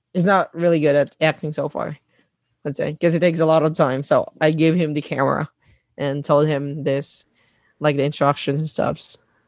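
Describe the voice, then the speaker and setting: A man with a Filipino accent speaks at a moderate pace and fairly high pitch. His intonation is monotone and flat, and the sound is dry and close with no echo. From Mindanao, Philippines. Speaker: content creator. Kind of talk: casual interview chat. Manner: hesitant, many fillers and laughs.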